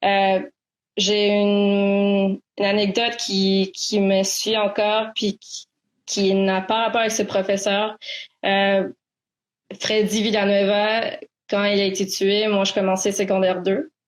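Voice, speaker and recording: A woman's medium-pitched, monotone voice at a very slow pace, with long, frequent pauses and flat intonation, in a very clean recording with a silent background. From Quebec, Montreal. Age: 20s. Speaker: student activist. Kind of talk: interview. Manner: halting.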